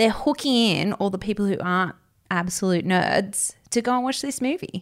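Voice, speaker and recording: A woman with an Australian accent speaks at a medium pitch and moderate pace, with ordinary pitch variation. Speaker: entertainment editor and podcast co-host. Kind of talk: casual chat. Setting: studio in Sydney.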